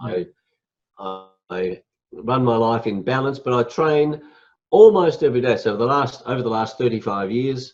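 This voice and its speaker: Moderate pace, ordinary pitch variation and long, frequent pauses. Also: man, medium pitch for a man. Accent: Australian. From Australia. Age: 60s. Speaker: motivational speaker and executive coach. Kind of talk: interview.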